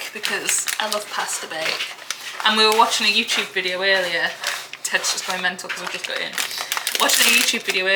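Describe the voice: Plain reading aloud keeps a fairly even intonation.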